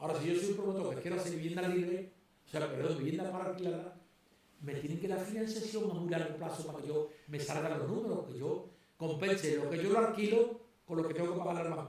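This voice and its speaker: Over noticeable background noise and audible room echo, a man talks very fast in a high voice with ordinary pitch variation. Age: 70s. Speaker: retired property developer. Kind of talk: podcast interview.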